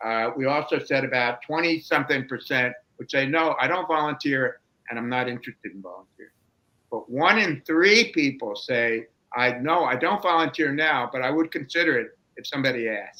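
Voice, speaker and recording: Bright and sharp in tone, a man's fairly high voice moves at a fairly quick pace with ordinary pitch variation and big swings in loudness. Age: 70s. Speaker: researcher presenting aging data. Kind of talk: webinar presentation.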